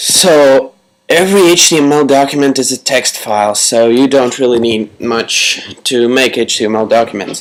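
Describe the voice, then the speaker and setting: With a Latvian accent, a man speaks at a moderate pace. His pitch is medium, with ordinary pitch variation. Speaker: tutorial creator. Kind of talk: tutorial.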